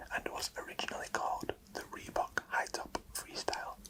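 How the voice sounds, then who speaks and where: Noticeable background noise behind a man's whisper at a moderate pace. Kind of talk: ASMR book reading. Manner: whispered, soft-spoken.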